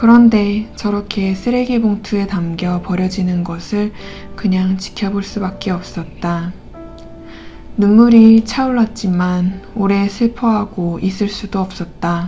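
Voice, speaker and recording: Very slow delivery in a calm tone, fairly even intonation, and music in the background. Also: woman, medium pitch for a woman. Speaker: audiobook reader. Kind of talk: novel narration read aloud. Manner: calm, soft-spoken.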